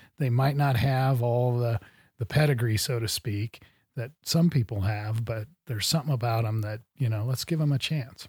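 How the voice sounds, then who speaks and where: In a very clean recording with a silent background, a man with an American accent speaks at a medium pitch and a moderate pace, somewhat breathy, with ordinary pitch variation. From US Midwest. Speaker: podcast host. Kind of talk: interview. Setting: studio.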